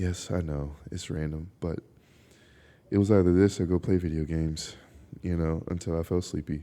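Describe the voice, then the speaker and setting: The recording is very clean with a silent background. A soft-spoken man with a dark, mellow tone talks at a moderate pace. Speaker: podcast host. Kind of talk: casual chat. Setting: outdoors in a park at night.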